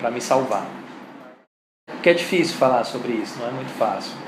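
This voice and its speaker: The speaker is a man moving at a fairly quick pace. An echo from the room is audible. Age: 40s. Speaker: comics artist. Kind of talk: interview.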